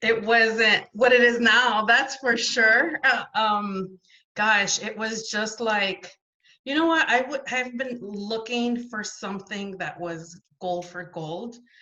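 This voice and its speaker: This woman talks at a very slow pace. Her pitch is fairly high, with ordinary variation. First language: not French. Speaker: essential oils business builder. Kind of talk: interview testimony.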